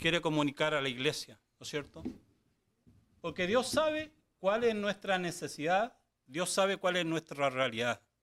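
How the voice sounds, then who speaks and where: A man speaks at a high pitch with lively intonation. The recording is very clean with a silent background. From Chile. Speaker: guest pastor. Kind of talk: sermon. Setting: church service, live. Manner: halting, many fillers.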